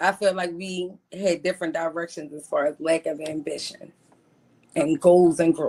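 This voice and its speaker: With a Baltimore accent, a woman speaks at a fairly low pitch in a dark, mellow tone. Her intonation stays fairly even at a moderate pace while her loudness swings widely. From Baltimore, US. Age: 40s. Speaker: caller seeking a partner. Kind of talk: casual interview.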